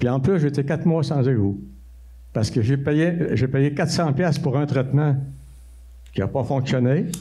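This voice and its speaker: A man speaks with a Saguenay Quebec accent at a fairly high pitch, sounding somewhat breathy. Audible room echo fills the recording. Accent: rural Saguenay Québécois French. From Quebec, L'Anse-Saint-Jean (Saguenay). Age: 80s+. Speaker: citizen at council question period. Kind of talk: public question at council meeting. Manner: halting, repetitive.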